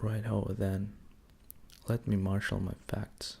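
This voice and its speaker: A man's gentle, calm, somewhat breathy voice at a very slow pace. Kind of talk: audiobook-style reading of a novel, ASMR. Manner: gentle, calm, slow, relaxing.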